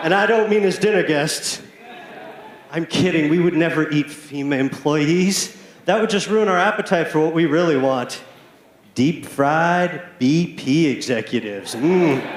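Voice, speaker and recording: With an American accent, a man of fairly high pitch talks at very even loudness and ordinary pitch variation, with noticeable background noise and audible room echo. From US South, Alabama Gulf Coast. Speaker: stand-up comedian. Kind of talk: stand-up. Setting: stage with audience.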